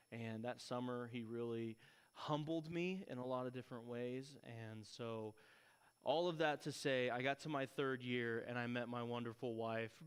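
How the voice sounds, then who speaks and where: A man at a moderate pace with a West Texas accent, medium pitch and fairly even intonation. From Texas (Lubbock). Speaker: missionary. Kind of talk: church talk, testimony. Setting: church with audience. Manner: casual.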